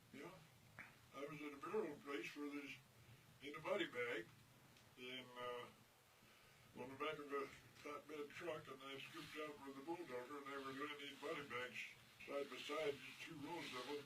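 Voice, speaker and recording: Against noticeable background noise, a man speaks at a moderate pace with a fairly high pitch. His intonation is monotone and flat, with long, frequent pauses. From New Mexico. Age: 80s+. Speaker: World War II veteran. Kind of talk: interview answer.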